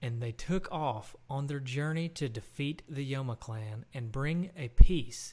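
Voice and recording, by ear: Someone is reading aloud in a natural voice.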